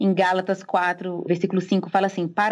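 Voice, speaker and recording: The woman's voice sits at a medium pitch, a normal speaking voice. She keeps a moderate pace. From Brazil, Recife (Pernambuco). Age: 30s. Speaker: theologian and church history teacher. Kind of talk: casual interview.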